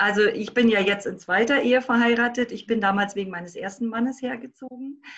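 A woman at a fairly quick pace with fairly even intonation and hardly any pauses. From Berlin. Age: 50s. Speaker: life coach. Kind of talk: interview.

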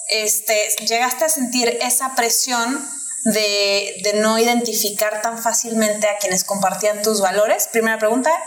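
A woman's fairly high voice with a Mexican accent, fairly slow and very even in loudness, with fairly even intonation over noticeable background noise. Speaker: podcast co-host. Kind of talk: interview conversation.

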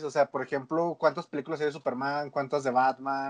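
Against a quiet background, a man is recorded with a dry, close sound and no echo. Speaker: podcast co-host. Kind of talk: casual chat.

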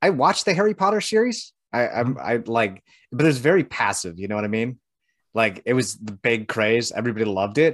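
The speaker is a man with a plain, everyday voice at medium pitch. He talks at a fairly quick pace with lively intonation against a quiet background. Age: 30s. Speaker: show co-host. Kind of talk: casual chat. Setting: online video show.

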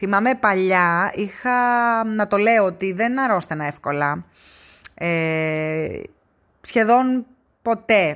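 A woman's medium-pitched voice, very slow with long, frequent pauses and lively intonation, on a very clean recording with a silent background. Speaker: travel podcaster. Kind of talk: casual solo monologue. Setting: in a car.

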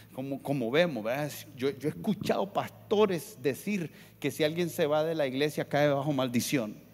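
Against a silent background in a very clean recording, a man speaks at a fairly slow pace. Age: 50s. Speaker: pastor. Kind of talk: sermon.

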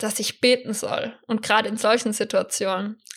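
Her tone is bright and sharp, and she talks at a moderate pace. This woman's intonation stays monotone and flat. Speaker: church youth leader and deaconess. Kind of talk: casual chat.

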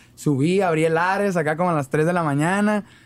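On a very clean recording with a silent background, a man with an ordinary speaking voice and a fairly high pitch talks at a fairly quick pace. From Mexico, Ciudad Obregón, Sonora. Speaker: rapper. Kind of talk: casual interview chat.

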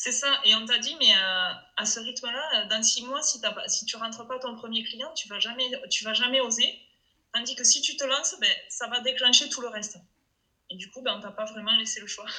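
The speaker has a Toulouse accent and keeps a moderate pace. Loudness swings widely. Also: woman. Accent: Toulouse accent, clearly noticeable. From Toulouse, southwest France. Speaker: entrepreneur, web copywriter and translator. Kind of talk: casual chat.

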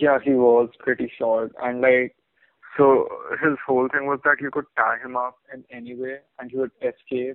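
At a moderate pace, a man's medium-pitched voice stays monotone and flat while its loudness swings widely. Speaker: podcast co-host. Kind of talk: casual chat.

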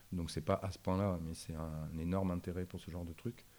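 Dark, mellow tone at a fairly quick pace, with fairly even intonation and a very clean recording against a silent background. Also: man. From northern France, Arras. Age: 40s. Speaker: concept store owner. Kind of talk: interview. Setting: in his shop.

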